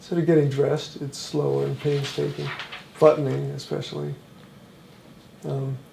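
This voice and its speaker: A man talking at a moderate speed leaves long, frequent pauses, with noticeable background noise throughout. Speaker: person living with Parkinson's. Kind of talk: documentary interview. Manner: stammers a little; halting, many fillers.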